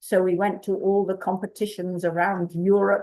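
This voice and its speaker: A woman speaks at a fairly slow pace with an English accent. Her tone is dark and mellow, and her pitch sits in the medium range. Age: 80s+. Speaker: community activist. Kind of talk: storytelling talk. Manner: halting.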